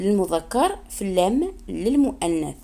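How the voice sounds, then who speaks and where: A woman's medium-pitched voice, very slow, with lively intonation. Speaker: language teacher YouTuber. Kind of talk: tutorial. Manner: slow, repetitive.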